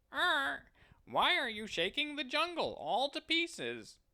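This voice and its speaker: A put-on character voice, high-pitched and at a fairly slow pace. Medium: read story. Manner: saucy, mocking.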